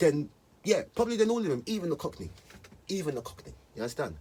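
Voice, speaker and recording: A man with an East London accent and vocal fry, speaking very fast with very wide pitch swings. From East London, England. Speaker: rapper. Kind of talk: casual monologue to camera. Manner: casual, slangy street speech.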